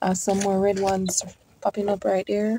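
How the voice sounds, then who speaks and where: In a dry recording with no echo, a woman speaks with a Jamaican accent and a dark, mellow tone. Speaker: YouTube gardener. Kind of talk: garden tour vlog. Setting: outdoors in garden. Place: garden. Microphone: phone near.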